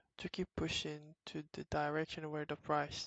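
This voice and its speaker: A woman talks with a non-native accent in a very deep, low voice. The sound is dry and close with no echo. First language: not English. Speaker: trading educator. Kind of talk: tutorial. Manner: halting, many fillers.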